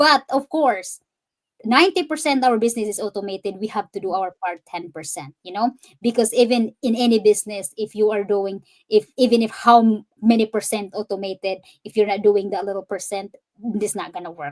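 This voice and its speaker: A woman speaks at a fairly quick pace in a fairly high pitch with ordinary pitch variation. The sound is dry and close, with no echo. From Philippines, Cebu. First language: Cebuano. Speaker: digital business owner and fitness coach. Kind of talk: interview on a live stream, English mixed with Tagalog. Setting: live stream.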